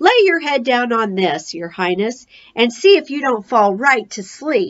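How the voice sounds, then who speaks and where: Using a put-on character voice, a woman speaks at a high pitch and a moderate pace, with very wide pitch swings. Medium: read story.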